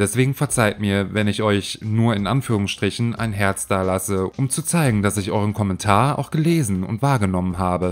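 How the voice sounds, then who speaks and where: Pitched fairly low, a man speaks at a moderate pace. His pitch variation is ordinary. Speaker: YouTube narrator. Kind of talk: casual chat; scripted narration. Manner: halting.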